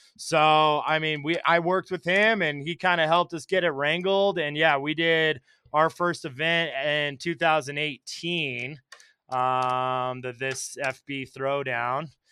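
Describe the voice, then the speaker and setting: With an American accent, a man speaks at a fairly slow pace in a fairly high pitch, using a plain, everyday voice with fairly even intonation. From US, Colorado mountains. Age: 30s. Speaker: shop owner. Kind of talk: interview.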